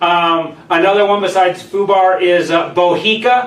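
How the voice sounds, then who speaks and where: This man's voice is high in pitch. Noticeable background noise and audible room echo fill the recording. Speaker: mortgage lender video host. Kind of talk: live stream talk. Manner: loud.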